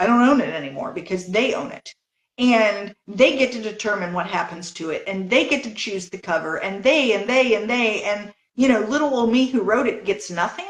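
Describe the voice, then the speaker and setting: Speaking at a moderate pace, a woman uses an ordinary speaking voice, fairly high in pitch, with lively intonation. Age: 60s. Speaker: novelist. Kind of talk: interview.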